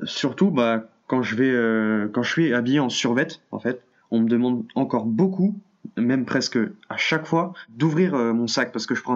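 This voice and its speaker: This is a plain, everyday voice with ordinary pitch variation. The background is quiet. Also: man. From France. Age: young. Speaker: university student. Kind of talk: testimony.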